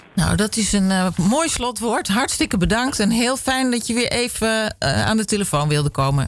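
The speech runs at a moderate pace with hardly any pauses, over noticeable background noise. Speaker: radio presenter. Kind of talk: radio show presenting and interviewing.

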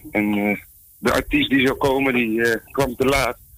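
A man speaks in a plain, everyday voice. His intonation stays fairly even. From Arnhem, Netherlands. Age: 20s. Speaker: singer. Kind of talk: interview.

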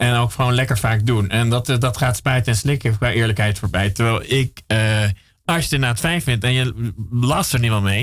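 Very fast, somewhat breathy speech from a man at a medium pitch, with ordinary pitch variation. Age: 40s. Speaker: radio host. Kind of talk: casual chat. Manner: halting.

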